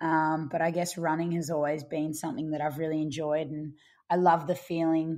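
A woman speaks with an Australian accent at a fairly low pitch. Her pace is moderate, and the background is quiet. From Australia, Brisbane. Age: 20s. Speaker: ultramarathon runner. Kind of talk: interview.

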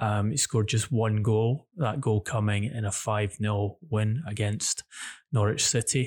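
Speaking at a fairly slow pace, a man has a somewhat breathy voice with a fairly low pitch and fairly even intonation. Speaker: football journalist co-host. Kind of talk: football news podcast discussion. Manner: measured, hesitant with fillers.

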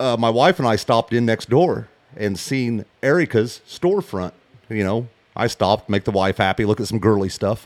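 A man with an American accent and a normal speaking voice talks at a moderate pace and medium pitch. The sound is dry and close with no echo, on a very clean recording with a silent background. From US Midwest, western Illinois. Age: 40s. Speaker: hunting outfitter. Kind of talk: casual chat.

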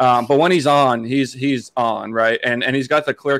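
A man talks in a normal speaking voice at a medium pitch with fairly even intonation. The sound is dry and close, with no echo. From Massachusetts, US. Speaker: podcast producer and co-host, hockey fan. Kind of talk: casual interview chat.

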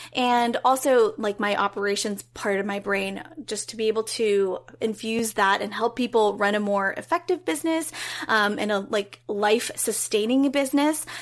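A woman with an unremarkable speaking voice talks at a moderate pace, her pitch fairly high with ordinary variation. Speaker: creative business coach. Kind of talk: interview conversation.

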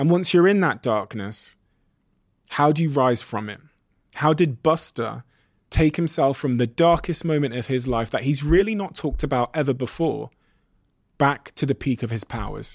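A plain, everyday voice from a man, fairly high in pitch, with lively intonation at a moderate pace over a quiet background. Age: 30s. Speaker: podcast host. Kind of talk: scripted narration; interview.

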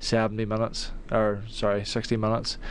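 He speaks with a Northern Irish accent. His intonation is monotone and flat. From Northern Ireland. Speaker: soccer player. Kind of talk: radio interview. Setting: studio.

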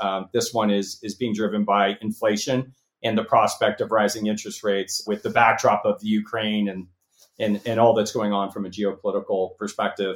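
The speech has a Californian accent and a moderate pace. Its intonation stays fairly even. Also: man. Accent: General American, Californian. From Los Angeles. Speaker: venture capitalist and company founder. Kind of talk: interview. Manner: halting, many fillers and repeats.

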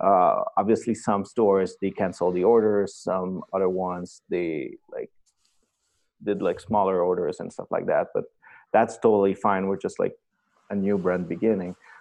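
The man has a Quebec accent. He talks at a moderate pace. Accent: Québécois French-accented English. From Quebec, Canada. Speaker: streetwear designer. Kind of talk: casual interview. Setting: call.

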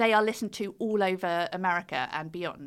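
Here a woman speaks with a British accent. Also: very clean recording, silent background. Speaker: author and fiddle player. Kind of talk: casual interview chat.

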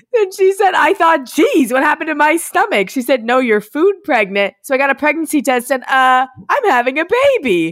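In an American accent, a woman with a high voice talks with very wide pitch swings, very even loudness and hardly any pauses. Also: moderate pace. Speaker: podcast host and influencer. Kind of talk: casual chat. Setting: remote recording from home.

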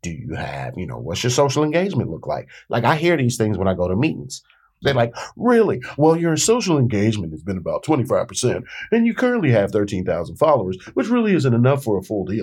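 Very fast speech from a man in an American accent, very clean recording, silent background. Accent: D.C. accent, Southern-tinged. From Washington D.C. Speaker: rapper and author. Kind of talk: casual interview.

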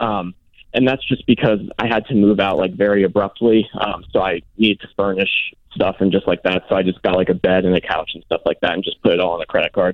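Fairly quick speech from a man. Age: 20s. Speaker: caller, government employee. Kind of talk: phone-in question. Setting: phone call. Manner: hesitant, many fillers.

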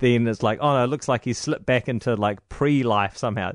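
A New Zealand accent at a fairly quick pace, with fairly even intonation. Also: man. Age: 30s. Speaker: radio host. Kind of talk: interview.

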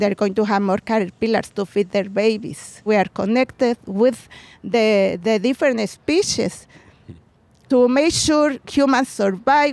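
A woman with a Mexican accent speaks at a fairly slow pace. Her pitch is fairly high, with ordinary variation. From Mexico, Puebla. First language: Spanish. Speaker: community gardener and butterfly conservation activist. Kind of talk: interview. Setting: outdoors.

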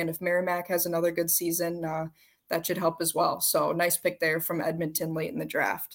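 Over a very clean recording with a silent background, a woman with an American accent talks at a fairly quick pace in a fairly low pitch, an ordinary speaking voice. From Minnesota. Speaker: hockey journalist, podcast co-host. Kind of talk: casual chat.

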